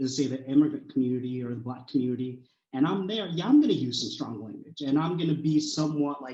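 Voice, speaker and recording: A somewhat breathy man at a fairly high pitch and a very fast pace, with a dark, mellow tone, big swings in loudness, and audible room echo. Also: ordinary pitch variation. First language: not English. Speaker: college student. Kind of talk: panel discussion.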